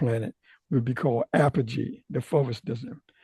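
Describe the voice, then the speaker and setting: A man's medium-pitched, somewhat breathy voice in an American accent, dark and mellow in tone, at a moderate pace, with a dry, close sound and no echo. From US South. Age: 80s+. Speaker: retired aerospace scientist. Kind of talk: technical presentation. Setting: video call. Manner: halting.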